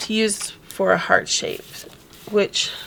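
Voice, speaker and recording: Noticeable background noise surrounds a woman who talks very slowly. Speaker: scrapbooking instructor. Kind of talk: casual craft tutorial talk.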